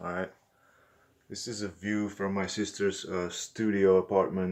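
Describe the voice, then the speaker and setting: A man's fairly low-pitched voice, monotone and flat, on a very clean recording with a silent background. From Czech Republic. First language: Czech. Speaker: vlogger. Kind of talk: unscripted vlog monologue. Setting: indoors at an apartment window, filming. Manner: halting, many fillers and repetitions.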